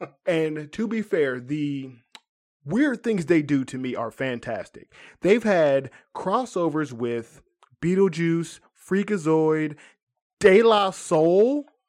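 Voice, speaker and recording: A high-pitched man at a very slow pace, with long, frequent pauses. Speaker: podcast guest. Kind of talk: casual chat.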